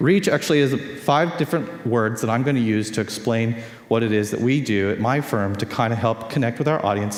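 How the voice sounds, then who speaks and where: A man's medium-pitched voice with a Californian accent and ordinary pitch variation, plus audible room echo and noticeable background noise. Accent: Californian American English. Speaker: conference speaker on social media. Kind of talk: conference talk. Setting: stage with audience. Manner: fast.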